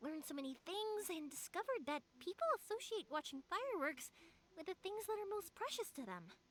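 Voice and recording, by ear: A woman does a put-on character voice at an extremely high pitch, fairly bright in tone, with big swings in pitch. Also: fairly quick pace.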